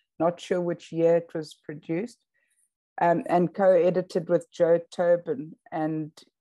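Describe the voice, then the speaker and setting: Against a quiet background, a woman talks at a fairly slow pace. Her voice has a dark, mellow tone and a fairly low pitch. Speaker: emerita professor and webinar host. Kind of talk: interview conversation. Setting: video call. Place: home room. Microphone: video call.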